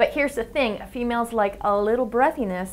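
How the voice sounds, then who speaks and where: A woman with a high voice talks at a fairly quick pace. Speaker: science show host. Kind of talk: science explainer narration. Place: studio. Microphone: lapel.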